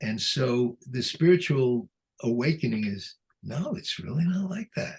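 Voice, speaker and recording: The voice is somewhat breathy, moving at a fairly slow pace through very wide pitch swings. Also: man. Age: 80s+. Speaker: psychotherapist and author. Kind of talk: interview. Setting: video call.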